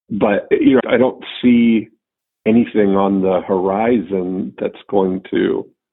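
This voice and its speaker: A man speaks at a very slow pace with ordinary pitch variation. His pitch is fairly low. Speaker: podcast host. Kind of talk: casual chat.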